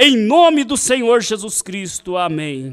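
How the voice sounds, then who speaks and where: A man's fairly slow delivery plays out over a quiet background. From Brazil. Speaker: church service leader. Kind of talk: prayer and announcements. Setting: church. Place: church. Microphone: handheld.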